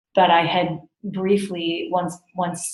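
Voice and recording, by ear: Showing little pitch movement, a woman speaks with a Californian accent amid audible room echo. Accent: American, Californian.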